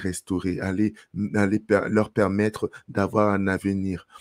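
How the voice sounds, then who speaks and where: On a very clean recording with a silent background, a man speaks at a fairly slow pace in a fairly low, monotone voice with flat intonation. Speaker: life coach for men. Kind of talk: motivational talk to camera. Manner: halting, many fillers.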